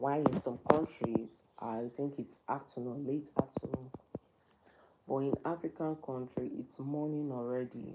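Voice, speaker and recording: Over noticeable background noise, a woman with a very deep, low pitch speaks at a fairly slow pace and with fairly even intonation. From Nigeria. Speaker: livestreamer. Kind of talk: casual livestream chat. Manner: halting, many fillers; repetitive.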